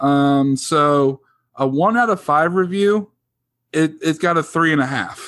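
A man with a plain, everyday voice speaks at a fairly slow pace, his pitch fairly high with ordinary variation and his loudness very even. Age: 30s. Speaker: podcast co-host. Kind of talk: casual chat.

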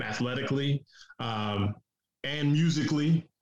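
This is a normal speaking voice. It comes with an American accent. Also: man. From Detroit, US. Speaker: podcast host. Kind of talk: casual podcast chat.

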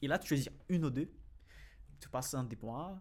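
A man's medium-pitched voice with vocal fry, ordinary pitch variation and a moderate pace. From Brazil. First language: Portuguese (speaking French). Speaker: finance YouTuber and financial analyst. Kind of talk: casual interview.

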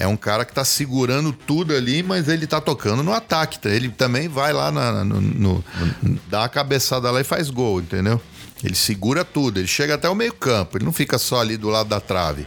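A medium-pitched man at a fairly quick pace, with very wide pitch swings, very even loudness and noticeable background noise. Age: 50s. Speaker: multi-instrumentalist and music producer. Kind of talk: casual chat.

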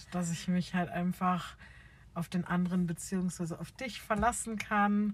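Speaking fairly slowly, a woman uses a medium pitch, fairly even intonation and a somewhat breathy voice. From Bavaria, near Munich. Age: 20s. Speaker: podcast co-host, childcare worker. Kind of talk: casual chat. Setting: in a car.

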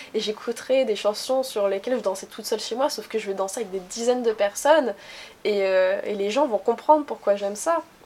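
A woman with a normal speaking voice, fairly high pitch, ordinary pitch variation, and a fairly quick pace. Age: 20s. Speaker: interviewee. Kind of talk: casual interview.

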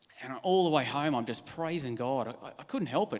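Speaking with an Australian accent, a man talks at a fairly quick pace and a fairly high pitch with ordinary pitch variation. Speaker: church member. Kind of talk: testimony.

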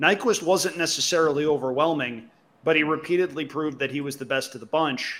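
A normal speaking voice with ordinary pitch variation talks at a moderate pace. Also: man. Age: 30s. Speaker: horse racing podcast co-host. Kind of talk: casual chat.

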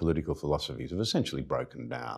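A man with an Australian accent and lively intonation, on a very clean recording with a silent background. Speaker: interviewer, former politician. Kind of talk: interview. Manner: halting.

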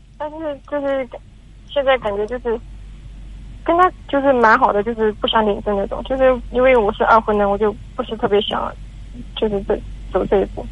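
Fairly high in pitch, a woman talks at a fairly quick pace with ordinary pitch variation. Long, frequent pauses break up her speech. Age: 20s. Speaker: caller. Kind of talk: call-in advice conversation. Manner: halting, hesitant.

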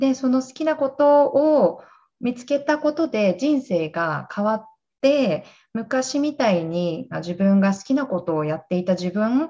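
Against a quiet background, a woman with a high pitch speaks at a fairly slow pace in a dark, mellow tone with very wide pitch swings. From Japan, Gunma. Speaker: fitness instructor. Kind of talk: casual chat.

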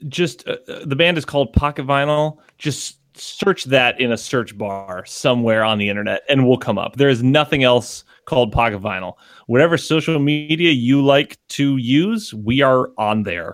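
A man's medium-pitched voice at a moderate pace, with an American accent and lively intonation. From Connecticut. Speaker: musician. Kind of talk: casual chat. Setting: video call. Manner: halting.

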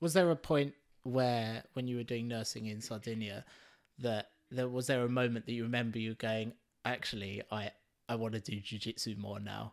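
Over a very clean recording with a silent background, a man with a plain, everyday voice speaks at a moderate pace and medium pitch, with fairly even intonation. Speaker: podcast host. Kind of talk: casual podcast interview.

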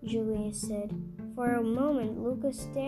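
Someone reads a text aloud. Their delivery is natural.

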